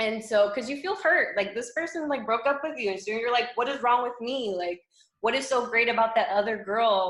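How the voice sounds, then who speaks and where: In an ordinary speaking voice, a woman with an American accent talks at a fairly quick pace, her pitch fairly high and her intonation lively. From South Florida. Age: 20s. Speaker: fitness coach. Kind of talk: casual chat.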